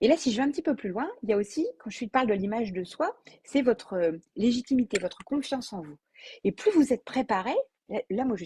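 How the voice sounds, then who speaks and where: Somewhat breathy and dark, mellow in tone, a woman talks at a fairly high pitch with very wide pitch swings, in a dry, close recording with no echo. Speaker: business coach. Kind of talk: live video talk. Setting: Facebook live video. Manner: fast; spontaneous, with hesitations.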